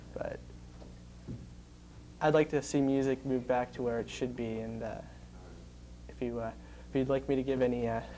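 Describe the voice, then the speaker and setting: His tone is deadpan and serious. The man keeps a moderate pace. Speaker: student interviewee talking about music. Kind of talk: serious interview answer. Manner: deadpan, serious.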